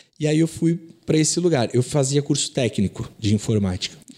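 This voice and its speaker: This man has a dark, mellow tone and fairly high pitch. He talks at a fairly quick pace. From Rio de Janeiro state, Brazil (Nova Iguaçu). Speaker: digital marketing agency owner. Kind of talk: casual interview.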